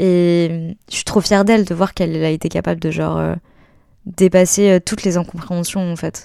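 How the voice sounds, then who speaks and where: Against a very clean, silent background, a woman speaks at a moderate pace and a fairly low pitch. Her tone is dark and mellow, with monotone, flat intonation. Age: 20s. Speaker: musician. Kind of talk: casual interview about personal life story.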